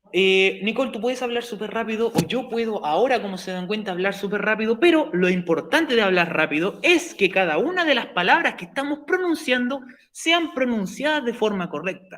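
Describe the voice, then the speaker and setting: In a Chilean accent, a man with a high pitch talks at a fairly quick pace with hardly any pauses and very wide pitch swings, over noticeable background noise. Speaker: teacher. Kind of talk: lecture. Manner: fast.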